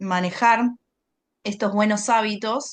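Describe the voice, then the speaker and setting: In an Argentine accent, a woman talks at a very slow pace with a fairly high pitch. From Argentina. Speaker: environmental communication consultant. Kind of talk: interview.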